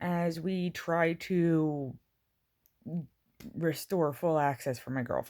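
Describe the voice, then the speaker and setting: In a very clean recording with a silent background, a woman speaks with a dark, mellow tone and a fairly low pitch. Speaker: vlogger. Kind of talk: casual vlog update.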